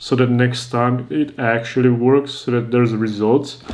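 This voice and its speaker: Over noticeable background noise, a man with a non-native accent speaks at a moderate pace. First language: not English. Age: 20s. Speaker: YouTuber giving advice. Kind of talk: advice monologue.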